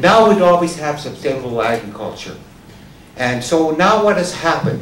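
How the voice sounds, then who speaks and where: A man with a Canadian Prairies accent at a moderate pace, lively in intonation, with noticeable background noise and audible room echo. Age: 70s. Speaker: farmer. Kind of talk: public talk.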